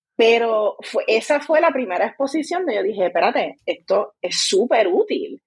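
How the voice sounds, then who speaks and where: Very wide pitch swings from a woman speaking at a moderate pace. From Puerto Rico, rural Vega Alta. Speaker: scientist and science communicator. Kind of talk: podcast interview.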